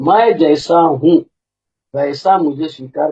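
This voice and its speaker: A man speaks. His tone is dark and mellow. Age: 60s. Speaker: recovering alcoholic sharing at support meeting. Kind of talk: testimony. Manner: casual, conversational.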